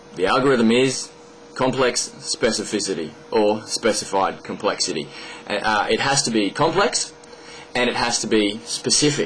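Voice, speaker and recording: Over light background noise, a speaker with an Australian accent talks at a moderate pace, keeping very even loudness and ordinary pitch variation. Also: man. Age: 20s. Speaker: video blogger. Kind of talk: monologue explaining an argument to camera. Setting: at home desk recording a video. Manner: hesitant, many fillers. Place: home room. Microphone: webcam.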